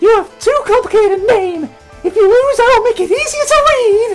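Someone performs a put-on character voice while faint music plays in the background. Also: man, extremely high pitch for a man, moderate pace. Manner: dismissive, confident.

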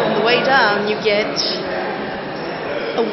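A woman talks at a fairly slow pace. Loud background noise fills the recording. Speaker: sports fan vlogger. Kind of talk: casual vlog chat. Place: street. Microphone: phone near.

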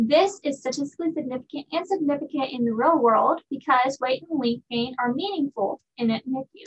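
With ordinary pitch variation, a woman talks at a high pitch. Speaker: presenter. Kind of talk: research presentation. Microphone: webcam.

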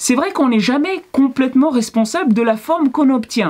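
This woman speaks at a high pitch. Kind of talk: tutorial. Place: workshop.

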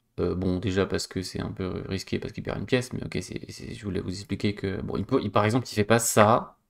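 A man's fairly low-pitched voice with vocal fry, a fairly quick pace and hardly any pauses, ordinary pitch variation and big swings in loudness, over a quiet background. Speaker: chess coach and streamer; chess coach, streamer. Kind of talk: live stream game analysis. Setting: live stream with chat. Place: home room.

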